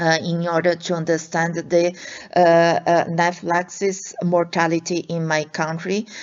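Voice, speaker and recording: A woman with a Portuguese accent speaks at a fairly low pitch in a monotone, flat intonation. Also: moderate pace. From Brazil. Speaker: allergist and researcher. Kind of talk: lecture. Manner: halting, many fillers.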